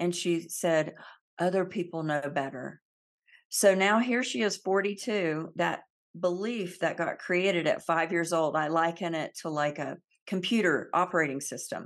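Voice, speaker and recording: A woman with an American accent and a normal speaking voice talks at a moderate pace, fairly low in pitch with ordinary pitch variation, against a quiet background. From US South, Central Florida. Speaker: emotional healing educator. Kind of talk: interview.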